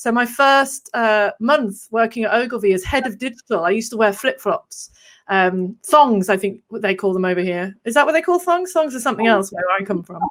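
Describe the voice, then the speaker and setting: In a very clean recording with a silent background, a woman with a fairly high pitch and an English accent talks at a moderate pace with lively intonation and hardly any pauses. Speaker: copywriter and marketer. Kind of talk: casual interview chat.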